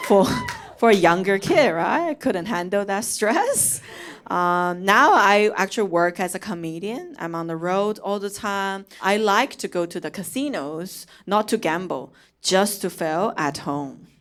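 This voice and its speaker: A woman with a Chinese accent at a fairly slow pace, ordinary pitch variation, very clean recording with a silent background. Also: medium pitch for a woman. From China (Chongqing). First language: Mandarin Chinese. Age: 30s. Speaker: comedian. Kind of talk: stand-up. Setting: stage with audience.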